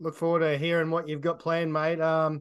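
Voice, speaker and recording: Against a quiet background, a man speaks fairly quickly at a fairly high pitch. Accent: Australian. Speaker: podcast host. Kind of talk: casual chat. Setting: video call.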